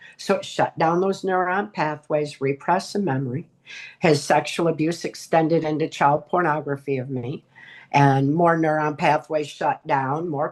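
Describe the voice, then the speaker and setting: Against a quiet background, a woman speaks in a very deep, low pitch with fairly even intonation. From Michigan, US. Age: 60s. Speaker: author and abuse survivor. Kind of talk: testimony.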